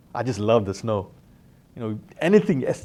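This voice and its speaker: Lively intonation in a Malaysian accent, with a dark, mellow tone and a fairly quick pace. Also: man. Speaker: alumnus, company director. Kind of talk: interview storytelling. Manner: casual, with many fillers.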